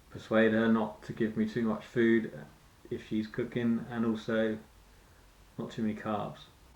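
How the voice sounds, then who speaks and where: Speaking with a British accent, a man keeps a monotone, flat intonation. His pitch sits fairly low. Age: 40s. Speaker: fitness vlogger. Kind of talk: personal vlog monologue. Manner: halting.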